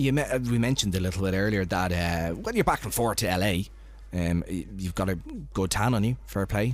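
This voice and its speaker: A man with a fairly low pitch talks at a fairly quick pace. His pitch varies in an ordinary way. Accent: Irish. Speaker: radio host. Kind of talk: casual chat. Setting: studio.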